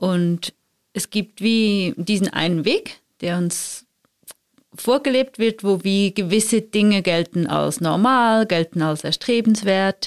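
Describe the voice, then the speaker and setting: Very slowly, a woman speaks at a medium pitch with ordinary pitch variation. The recording is very clean, with a silent background and a dry, close sound with no echo. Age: 30s. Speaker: conflict and empathy trainer. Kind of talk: casual chat.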